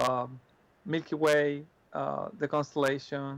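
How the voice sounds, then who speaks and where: A fairly high-pitched man's voice with a Spanish accent. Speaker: astronomy presenter. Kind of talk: Q&A answers. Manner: halting, many repetitions and fillers.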